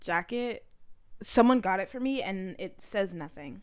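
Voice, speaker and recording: Talking at a fairly slow pace, a woman with a medium pitch uses lively intonation and an animated tone. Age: 20s. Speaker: podcast co-host. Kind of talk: casual chat.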